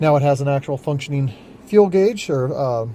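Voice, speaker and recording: A man's somewhat breathy, fairly high-pitched voice with a dark, mellow tone at a moderate pace. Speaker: auto body shop owner filming car work. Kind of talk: casual vlog narration. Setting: auto shop.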